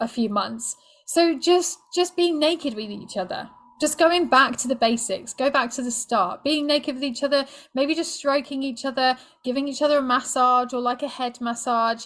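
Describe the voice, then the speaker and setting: A woman's high-pitched voice with a British accent, on a very clean recording with a silent background. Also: ordinary pitch variation, moderate pace. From Britain. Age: 40s. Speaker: sex and relationship coach. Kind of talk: podcast interview.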